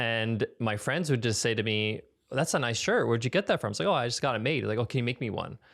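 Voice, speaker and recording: Very fast speech with an American accent on a very clean recording with a silent background. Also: man, medium pitch for a man, ordinary pitch variation. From US Northeast, Long Island, New York. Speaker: podcast host. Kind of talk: interview conversation. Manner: halting.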